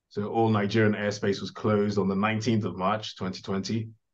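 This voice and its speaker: A man speaks at a fairly low pitch and a moderate pace against a quiet background. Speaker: podcast guest. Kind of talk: interview answer. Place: home room. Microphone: video call.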